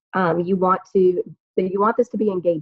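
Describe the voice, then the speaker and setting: Her voice is somewhat breathy, a woman speaking at medium pitch. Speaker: network marketing team leader. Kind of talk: training talk over video call. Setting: video call. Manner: fast.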